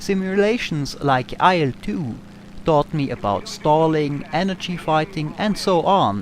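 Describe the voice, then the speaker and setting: A man with an Austrian accent talks at a fairly slow pace in a fairly high pitch. His intonation is lively. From Austria, Tyrol. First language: German. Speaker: gaming YouTuber. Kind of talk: Q&A over gameplay.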